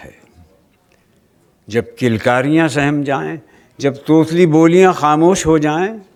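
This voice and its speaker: In a plain, everyday voice, the speaker uses ordinary pitch variation. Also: man. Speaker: poet reciter. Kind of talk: poetry reading. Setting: live festival stage.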